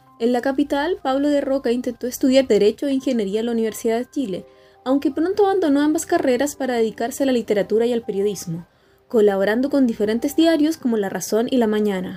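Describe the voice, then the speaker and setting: With music in the background, a woman speaks at a very fast pace in a high pitch with lively intonation. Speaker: radio host, literary program presenter. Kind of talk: literary radio program narration.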